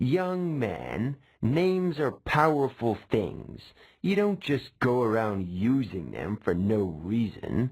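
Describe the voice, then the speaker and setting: Putting on a whiny character voice, a man with a medium pitch drags along at a very slow pace while his pitch swings very widely. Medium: read story. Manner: impatient, condescending, whiny.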